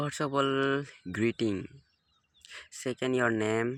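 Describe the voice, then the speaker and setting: Speaking very slowly in an Assamese accent, a man with a medium pitch keeps a fairly even intonation, the sound dry and close with no echo. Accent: Indian English, Assamese. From India, Assam. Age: 18. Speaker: English learner, college student. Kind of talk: beginner speaking practice vlog. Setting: outdoors at sunrise. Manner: halting, hesitant with repetitions.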